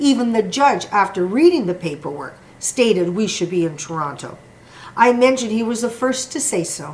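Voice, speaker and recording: A woman with an ordinary speaking voice, at a moderate pace, with lively intonation. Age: 60s. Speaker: former liquor store employee, litigant. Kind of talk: prepared statement. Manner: formal.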